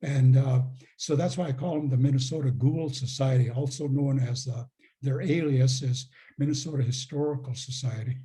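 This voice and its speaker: A man's medium-pitched, dark, mellow voice, somewhat breathy, at a moderate pace with monotone, flat intonation. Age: 80s+. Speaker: retired professor and author. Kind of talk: Q&A answers after a talk. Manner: halting, many fillers.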